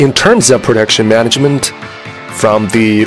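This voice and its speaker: Clear music sits behind a man whose fairly low pitch moves at a moderate pace. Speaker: factory manufacturing design supervisor. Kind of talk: interview answer. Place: factory.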